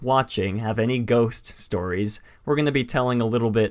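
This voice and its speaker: The man's voice sits at a medium pitch. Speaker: livestream podcast host. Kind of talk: casual live stream chat. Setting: live stream. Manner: fast; halting, many fillers.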